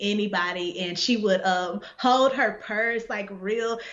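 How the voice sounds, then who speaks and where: There is noticeable background noise and audible room echo. A woman talks at a medium pitch with ordinary pitch variation. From Texas, Dallas. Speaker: poet and essayist. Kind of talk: interview. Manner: casual, filler-heavy.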